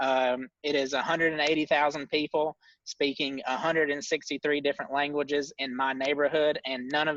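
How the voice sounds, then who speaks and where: Fairly high in pitch, a man talks at a fairly quick pace with a Tennessee accent. His tone is bright and sharp, his intonation monotone and flat, and the sound dry and close with no echo. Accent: Southern US (Tennessee). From US South, Tennessee. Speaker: ministry co-founder. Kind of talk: casual chat. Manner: frequent filler words.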